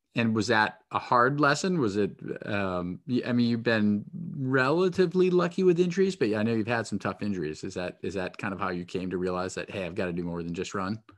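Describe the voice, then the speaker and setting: A man speaks at a fairly quick pace in a New England accent, his fairly low voice swinging very widely in pitch against a quiet background. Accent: New England, non-rhotic. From New Hampshire. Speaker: podcast host. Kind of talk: casual interview chat. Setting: phone or video call.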